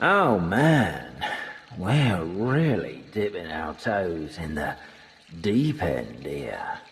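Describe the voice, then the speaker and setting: A man performs a cartoonish character voice at a fairly low pitch with very wide pitch swings. He goes at a very slow pace, and echo is audible. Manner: cryptic, casual.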